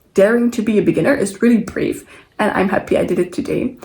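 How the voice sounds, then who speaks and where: Speaking at a very fast pace, a woman with a dark, mellow tone and vocal fry uses ordinary pitch variation. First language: not English. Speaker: sewing vlogger. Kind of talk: casual vlog talk to camera. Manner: casual, with hesitations and self-corrections.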